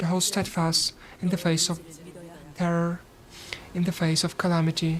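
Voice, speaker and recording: A woman's fairly low, fairly slow voice with a non-native accent, over noticeable background noise. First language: not English. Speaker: gaming streamer. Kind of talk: live gameplay commentary with reading aloud. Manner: halting.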